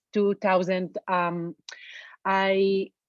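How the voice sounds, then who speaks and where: A woman with an Israeli accent speaks at a medium pitch, the sound dry and close with no echo and a quiet background. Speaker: reflexologist. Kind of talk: webinar presentation. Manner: halting, with fillers.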